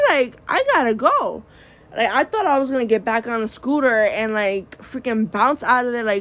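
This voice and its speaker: A high-pitched woman's voice with an American accent, a moderate pace and ordinary pitch variation, over noticeable background noise. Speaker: vlogger. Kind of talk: casual monologue vlog. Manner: naturally soft-spoken; projecting voice, upbeat.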